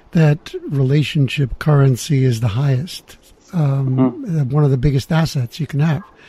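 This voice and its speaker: A man with an American accent, fairly high in pitch, somewhat breathy, dark and mellow in tone, with fairly even intonation. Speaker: podcast host. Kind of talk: casual interview. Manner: confident.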